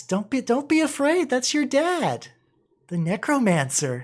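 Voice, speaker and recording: This is a put-on character voice at a fairly high pitch. It moves at a fairly slow pace. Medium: actual play. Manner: happy, eager.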